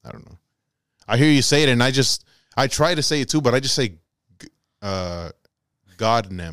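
A man with an American accent at a medium pitch and moderate pace, his loudness swinging widely, with long, frequent pauses. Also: lively intonation. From Texas. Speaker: podcast co-host. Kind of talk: casual chat.

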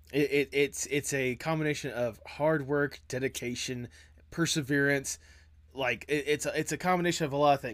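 The recording is very clean, with a silent background. A man with an ordinary speaking voice talks at a moderate pace, fairly high in pitch, with fairly even intonation. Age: 20s. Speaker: podcast host. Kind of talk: casual chat.

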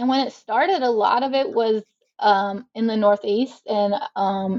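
A woman speaks in a normal speaking voice with an American accent. Her pitch is fairly high, with ordinary pitch variation. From US South, South Carolina. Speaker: sociology professor. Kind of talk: interview.

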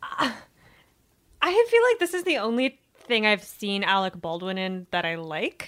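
A woman with an American accent, fairly high pitch and very wide pitch swings, at a fairly slow pace. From Virginia. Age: 30s. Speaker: book website editor. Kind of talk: casual chat.

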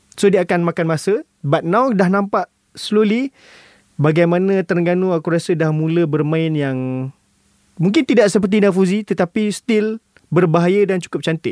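Here a man speaks at a high pitch and a moderate pace. The sound is dry and close, with no echo. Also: ordinary pitch variation. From Malaysia, Kuala Lumpur. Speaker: football podcast co-host. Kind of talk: casual chat.

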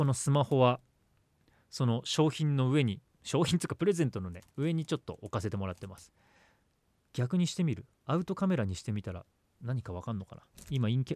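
A man speaks at a fairly quick pace and medium pitch, with long, frequent pauses and very wide swings in both pitch and loudness. The recording is very clean and dry, close-miked with a silent background and no echo. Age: 40s. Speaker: radio host. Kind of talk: casual chat. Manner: animated.

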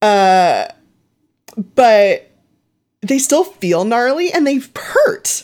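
A woman with a Southern Californian accent speaks at a very slow pace, with long, frequent pauses. Her voice is high, and its pitch swings very widely. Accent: general American, Southern Californian. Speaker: wrestling section head, co-host. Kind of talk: casual chat.

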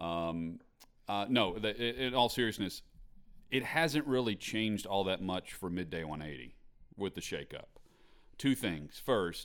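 A man with a plain, everyday voice talks at a fairly slow pace in a fairly low pitch, his intonation lively, on a very clean recording with a silent background. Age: 30s. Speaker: sports radio host. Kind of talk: interview.

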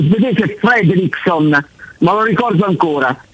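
A man talks with lively intonation at a fairly slow pace, noticeable background noise behind him. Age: 60s. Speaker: caller. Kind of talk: phone-in chat.

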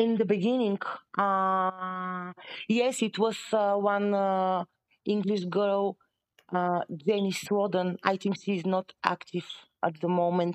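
A woman speaks very slowly at a medium pitch. Her intonation is monotone and flat, and her loudness stays very even. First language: not English. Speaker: professional session wrestler and judo and sambo athlete. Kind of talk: casual interview chat. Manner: halting, non-native English.

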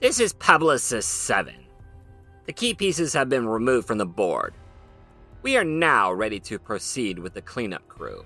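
Using a put-on character voice, a man speaks nasally at a medium pitch and moderate pace, with big swings in loudness and long, frequent pauses over faint music in the background.

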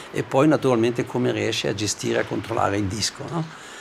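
Over noticeable background noise, a man of medium pitch talks at a very fast pace. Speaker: ice hockey coach. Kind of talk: interview.

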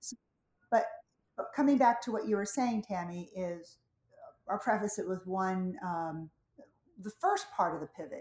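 A woman's medium-pitched voice, fairly slow in pace and lively in intonation. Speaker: fitness instructor and former dancer. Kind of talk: casual interview chat.

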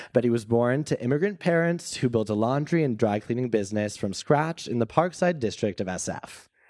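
In a normal speaking voice, a man talks at a fairly quick pace with medium pitch and lively intonation, on a very clean recording with a silent background. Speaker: student organizer and event introducer. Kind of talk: formal introductions. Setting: stage with audience.

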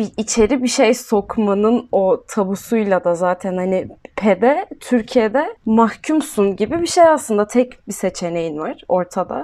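A woman speaks at a fairly high pitch with a dark, mellow tone and lively intonation. Her pace is fairly slow, with hardly any pauses. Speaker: podcast co-host. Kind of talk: casual chat.

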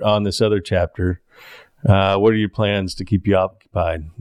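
Here a man talks in a normal speaking voice at a moderate pace. His pitch is fairly low. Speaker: podcast host. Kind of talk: casual interview conversation.

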